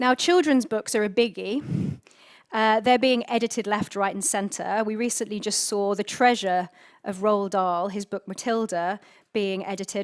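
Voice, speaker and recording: A woman with a British accent speaks at a moderate pace with ordinary pitch variation. The recording is very clean, with a silent background. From UK. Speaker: conference speaker. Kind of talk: conference speech.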